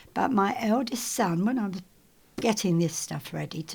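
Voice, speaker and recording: Recorded very cleanly over a silent background, a woman speaks at a medium pitch with a somewhat breathy quality. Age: 80s+. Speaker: retired broadcasting staff member. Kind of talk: oral history interview. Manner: halting.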